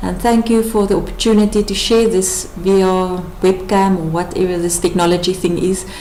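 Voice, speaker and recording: With a South African accent, a woman talks at a moderate pace and fairly even intonation. Noticeable background noise and audible room echo fill the recording. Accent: Afrikaans-accented English. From South Africa, rural Northern Cape. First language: Afrikaans. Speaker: wife and mother. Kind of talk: testimony. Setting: webcam presentation.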